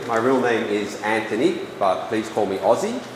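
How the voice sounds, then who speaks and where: Noticeable background noise and audible room echo surround a man speaking at a moderate speed. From Australia, Sydney. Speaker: English editing trainer and lecturer. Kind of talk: lecture. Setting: small room with audience, no microphone. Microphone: speaking without a microphone.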